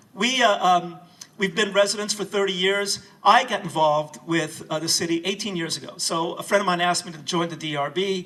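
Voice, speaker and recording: A man with a high voice and ordinary pitch variation speaks at a fairly quick pace against noticeable background noise. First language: not English. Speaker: city council candidate. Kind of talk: campaign speech. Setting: house reception with audience. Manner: hesitant, many fillers.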